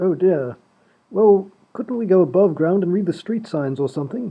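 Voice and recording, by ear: Using a put-on character voice, a man speaks with high pitch, lively intonation and a slightly husky edge. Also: moderate pace.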